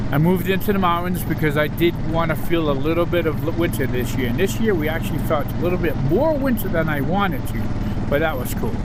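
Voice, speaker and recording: In a room with audible echo and noticeable background noise, a man with a high voice talks at a very fast pace with ordinary pitch variation. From Massachusetts. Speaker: motorcycle vlogger. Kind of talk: ride commentary. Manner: casual, conversational.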